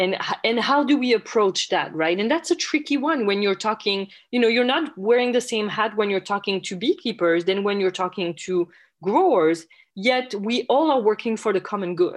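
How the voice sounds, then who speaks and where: Against a quiet background, a woman with a French accent speaks at a fairly high pitch with lively intonation. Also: moderate pace. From France. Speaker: entomology professor. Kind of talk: interview. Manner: halting.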